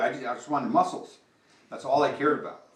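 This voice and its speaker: A man with an American accent, fairly high pitch and lively intonation, amid audible room echo. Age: 60s. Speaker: company founder giving keynote. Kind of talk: keynote speech. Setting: talk to company employees. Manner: conversational, many fillers.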